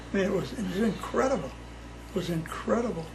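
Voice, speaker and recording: Rattling off words very fast, the man is heard through audible room echo and noticeable background noise. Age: 80s+. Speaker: family elder interviewee. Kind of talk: casual chat. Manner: halting.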